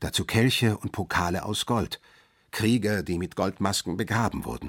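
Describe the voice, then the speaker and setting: An ordinary speaking voice, captured in a very clean recording with a silent background. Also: man. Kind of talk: history documentary narration. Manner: measured, clear, storytelling narrator.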